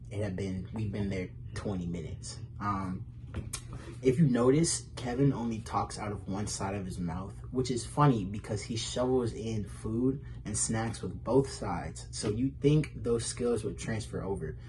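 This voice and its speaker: A man with a fairly low voice speaks at a moderate pace. The room echo is audible. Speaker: comedy roast participant. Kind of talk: roast jokes in recorded video. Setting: pre-recorded video. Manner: halting, fumbling words.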